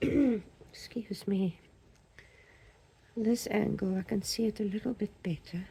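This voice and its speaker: A woman's somewhat breathy, medium-pitched voice at a very slow pace, with long, frequent pauses. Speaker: resin crafter. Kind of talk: crafting tutorial. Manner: halting.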